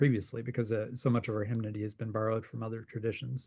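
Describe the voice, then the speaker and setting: A man with an American accent talks, and the background is quiet. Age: 40s. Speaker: hymn writer. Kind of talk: interview. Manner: halting.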